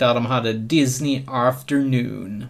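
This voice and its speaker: A man's medium-pitched voice with ordinary pitch variation, a plain, everyday voice. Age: 30s. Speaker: podcast co-host. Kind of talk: casual chat.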